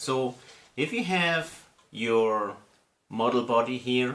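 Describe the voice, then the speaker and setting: With an Austrian accent, a man speaks at a medium pitch in a bright, sharp tone, with ordinary pitch variation. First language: German. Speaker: scale model hobbyist video host. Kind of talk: casual hobby tutorial. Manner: casual.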